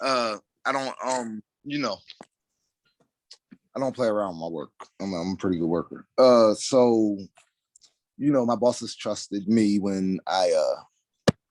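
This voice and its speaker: Mumbling man, fairly slow, with long, frequent pauses in a dry, close sound with no echo. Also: medium pitch for a man, ordinary pitch variation. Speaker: job interview candidate. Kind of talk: job interview. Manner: mumbles a little.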